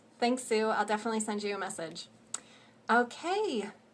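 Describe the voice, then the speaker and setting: Here a woman talks at a moderate pace. Her pitch is medium. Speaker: social media marketing coach. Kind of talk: livestream tutorial. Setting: livestream from home. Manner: animated.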